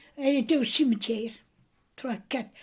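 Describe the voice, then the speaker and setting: Her delivery keeps a moderate tempo. The woman is recorded very cleanly against a silent background. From Brittany, Morbihan. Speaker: grandmother telling memories. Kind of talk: casual chat. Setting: family meal at home. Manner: hesitant.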